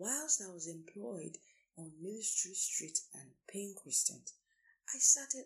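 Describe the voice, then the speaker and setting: A woman's fairly high, somewhat breathy voice at a fairly slow pace, with very wide pitch swings. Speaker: career coach and lawyer. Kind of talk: solo podcast talk. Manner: formal.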